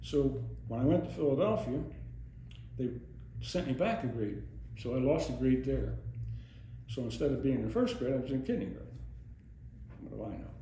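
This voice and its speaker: An American accent marks this man's fairly quick speech. Long, frequent pauses break it up, and the room echo is audible. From US Northeast, Monroe County, Pennsylvania. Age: 80s+. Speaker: oral history interviewee, retired police officer. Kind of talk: oral history interview. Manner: conversational, rambling with false starts.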